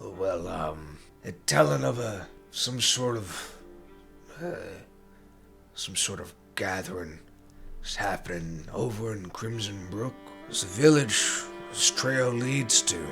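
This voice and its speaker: In a put-on character voice, a raspy man speaks at a fairly low pitch and fairly slow pace with lively intonation and long, frequent pauses, over clear background music. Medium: actual play. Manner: hesitant, rambling, folksy.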